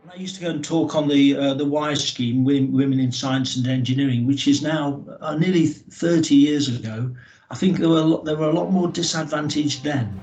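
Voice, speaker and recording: In audible room echo, a man speaks at a fairly quick pace with hardly any pauses, his fairly high pitch showing ordinary pitch variation and his loudness swinging widely. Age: 60s. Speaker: railway engineering manager. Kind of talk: interview. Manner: halting.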